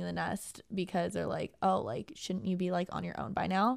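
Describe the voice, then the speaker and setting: At a fairly quick pace, a woman with an American accent talks in an unremarkable speaking voice at medium pitch. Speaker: podcast co-host. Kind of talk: casual chat. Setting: studio.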